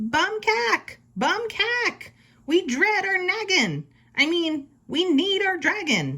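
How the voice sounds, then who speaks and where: A squeaky, put-on character voice shouting very slowly at an extremely high pitch. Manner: excited, screaming.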